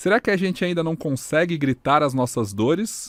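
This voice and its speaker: Recorded very clean with a silent background and a dry, close sound with no echo, a man with an ordinary speaking voice talks at a moderate pace with lively intonation. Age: 30s. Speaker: podcast host, digital media specialist. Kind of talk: podcast intro, scripted narration.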